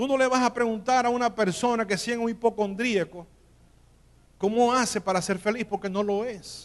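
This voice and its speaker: A man's high voice at a moderate pace, with fairly even intonation. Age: 60s. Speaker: pastor. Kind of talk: sermon. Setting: church.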